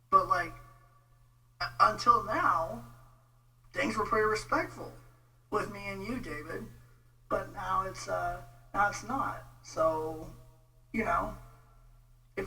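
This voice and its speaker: Against audible room echo and noticeable background noise, a man with an American accent talks fairly slowly, with big swings in loudness and long, frequent pauses. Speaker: online commentator on theology. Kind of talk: casual rant video. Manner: informal, hesitant with many fillers.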